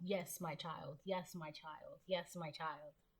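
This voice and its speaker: A woman's booming, put-on character voice, fairly low in pitch, at a fairly slow pace. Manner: affirming.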